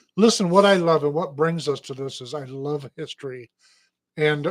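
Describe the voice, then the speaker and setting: With an Upper Midwest accent, a man talks at a moderate pace and a fairly high pitch, with ordinary pitch variation. His recording is very clean, with a silent background. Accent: Upper Midwest American. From Michigan. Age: 60s. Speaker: radio host. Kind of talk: casual chat. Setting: studio.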